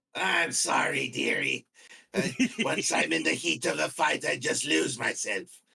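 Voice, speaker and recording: A man's raspy put-on character voice at a moderate pace, with very even loudness. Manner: sweet, gentle.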